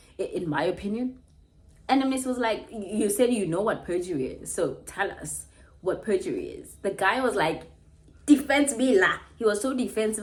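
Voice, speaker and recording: A woman's somewhat breathy voice with a fairly high pitch. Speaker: YouTube commentator. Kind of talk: casual reaction vlog. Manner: animated.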